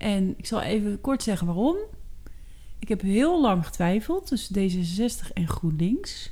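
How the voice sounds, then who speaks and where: Very slow and somewhat breathy, a woman's dark, mellow voice sits at medium pitch with lively intonation. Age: 40s. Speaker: podcast co-host, working mother. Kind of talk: casual chat. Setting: at the kitchen table.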